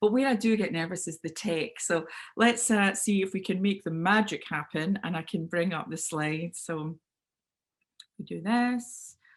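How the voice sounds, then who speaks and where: In a Scottish accent, the speaker talks at a moderate pace with ordinary pitch variation. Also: woman, medium pitch for a woman. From Scotland, Clydebank near Glasgow. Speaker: business speaker and sales trainer. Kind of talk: webinar talk. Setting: video call. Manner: loud.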